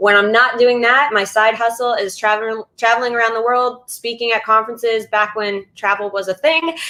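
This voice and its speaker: This loud woman talks at a fairly quick pace with an American accent. Her tone is bright and sharp. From US East Coast. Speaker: social media speaker and trainer. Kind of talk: webinar presentation. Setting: virtual session. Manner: fast.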